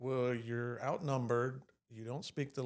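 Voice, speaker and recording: The speaker talks at a fairly slow pace with a Texan accent. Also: man. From Texas. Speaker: podcast host, veteran. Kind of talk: casual chat.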